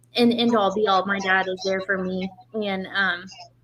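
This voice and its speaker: The voice has an American accent and a monotone, flat intonation. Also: woman. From Oklahoma, Tulsa. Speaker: drag racer. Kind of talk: interview. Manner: soft-spoken.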